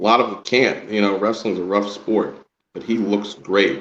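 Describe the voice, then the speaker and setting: A man's voice, fairly low in pitch, with fairly even intonation. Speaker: independent wrestling ring announcer. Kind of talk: podcast interview answer.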